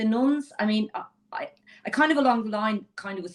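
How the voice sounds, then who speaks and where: A woman with a Dublin accent at a fairly quick pace. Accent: Dublin Irish. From Ireland, Dublin inner city. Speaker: lawyer. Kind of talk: interview conversation. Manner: animated.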